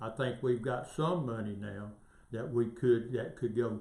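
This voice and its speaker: Somewhat breathy, a man with a Southern US accent talks at a fairly slow pace and medium pitch with fairly even intonation and audible room echo. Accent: Southern US (Georgia). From US South, northwest Georgia. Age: 60s. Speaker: local political candidate. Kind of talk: interview. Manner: halting.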